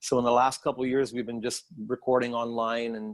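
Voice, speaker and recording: In a strong Canadian accent, a man talks at a fairly quick pace with a medium pitch and a flat, monotone delivery, recorded very cleanly against a silent background. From Canada, Montreal. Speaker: songwriter and producer. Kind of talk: casual interview chat.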